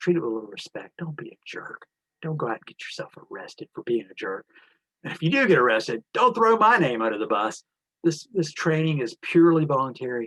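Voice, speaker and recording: Very wide pitch swings and big swings in loudness fill this man's very fast, fairly high-pitched speech. The sound is dry and close with no echo. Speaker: election watchdog organizer. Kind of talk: training briefing. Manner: casual, animated.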